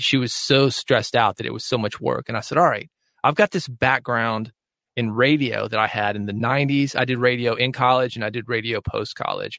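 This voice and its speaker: Very clean and silent in the background, with a dry, close sound and no echo, the recording captures a man with an American accent and a bright, sharp tone speaking at a fairly quick pace with fairly even intonation. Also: medium pitch for a man. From US South. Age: 40s. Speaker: podcast author and radio host. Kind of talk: interview. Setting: home studio, foam-lined closet.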